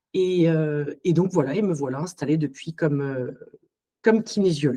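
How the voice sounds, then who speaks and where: A woman speaks at a moderate pace in a very deep, low pitch. Her pitch varies by an ordinary amount. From Alsace, France. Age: 40s. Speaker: psycho-body therapist. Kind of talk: podcast interview. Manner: hesitant, many fillers.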